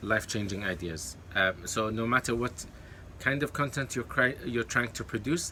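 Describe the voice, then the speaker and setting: A man's medium-pitched voice in an Arabic accent, bright and sharp in tone, with lively intonation at a moderate pace. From Kuwait, with eleven years in London. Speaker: YouTuber and online course coach. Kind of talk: talking-head advice video. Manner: hesitant with many fillers and self-corrections.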